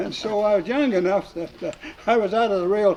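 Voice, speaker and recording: Noticeable background noise sits behind a man with an American accent and a high pitch. He talks at a fairly quick pace with ordinary pitch variation. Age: 90s. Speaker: war veteran. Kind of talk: casual chat. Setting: round table in a hall after a club meeting. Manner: halting, many fillers.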